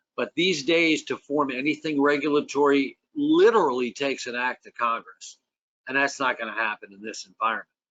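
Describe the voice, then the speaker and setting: An unremarkable speaking voice from a man, fairly quick, with ordinary pitch variation and big swings in loudness. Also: fairly high pitch for a man. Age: 60s. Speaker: fire service safety advocate. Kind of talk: panel discussion.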